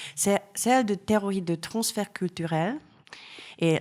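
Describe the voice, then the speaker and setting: A woman with a Hungarian accent speaks very slowly with ordinary pitch variation, on a very clean recording with a silent background. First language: Hungarian (speaking French). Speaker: art historian. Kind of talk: lecture. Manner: halting.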